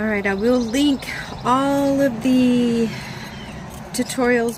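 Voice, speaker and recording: A soft-spoken woman at a very slow pace with ordinary pitch variation and noticeable background noise. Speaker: crafter / art tutorial creator. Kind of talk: tutorial. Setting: outdoors. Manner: animated.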